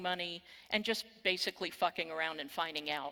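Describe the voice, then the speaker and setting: A woman with a bright, sharp tone and an American accent. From Texas. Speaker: cybersecurity keynote speaker. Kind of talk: conference keynote. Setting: stage with audience.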